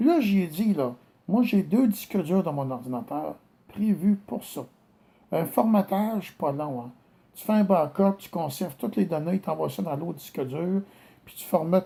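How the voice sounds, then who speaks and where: A dark, mellow tone in a Quebec accent, with lively intonation, a fairly slow pace and big swings in loudness, in a very clean recording against a silent background. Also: man, high pitch for a man. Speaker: complainant addressing a judge. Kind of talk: personal video statement. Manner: hesitant.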